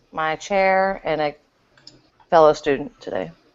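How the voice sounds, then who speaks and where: A woman with a Texas accent speaks with ordinary pitch variation. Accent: Texas drawl. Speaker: podcast co-host; doctoral candidate.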